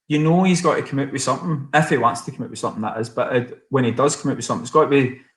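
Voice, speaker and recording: Very fast and with hardly any pauses, a man talks at a fairly high pitch in a somewhat breathy voice with big swings in loudness. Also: ordinary pitch variation. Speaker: singer-songwriter. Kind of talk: casual chat. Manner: animated.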